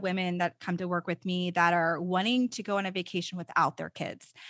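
With an American accent, a woman talks at a fairly quick pace in a bright, sharp tone at medium pitch, the sound dry and close with no echo over a quiet background. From Texas. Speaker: custom vacation designer. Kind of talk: casual interview chat. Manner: halting, many fillers and repeats.

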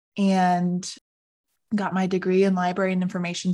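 Spoken at a moderate pace, this is an ordinary speaking voice. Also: woman, quiet background. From Arizona. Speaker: podcast co-host. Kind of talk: casual chat.

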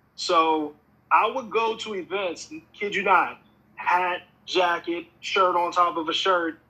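Very slowly and with fairly even intonation, a high-pitched man talks with an American accent. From Pennsylvania, US. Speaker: music artist and producer. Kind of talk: casual chat.

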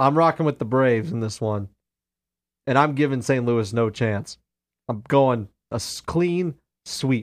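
A man speaks at medium pitch in a relaxed tone, with ordinary pitch variation. His pace is fairly slow, with long, frequent pauses. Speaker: radio host. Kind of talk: sports talk radio, casual banter. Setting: radio studio, live stream. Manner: joking, relaxed, chatty.

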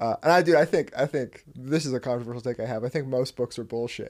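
This man has a West Coast US accent and a fairly high pitch, with fairly even intonation. The recording is very clean, with a silent background. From US Pacific Northwest, Washington state. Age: 20s. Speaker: company CEO. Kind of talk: casual interview chat.

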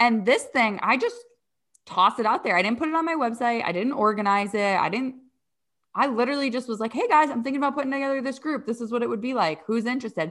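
A woman talks at a very fast pace in a high pitch with ordinary pitch variation, on a very clean recording with a silent background. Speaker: podcast host and coach. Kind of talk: interview.

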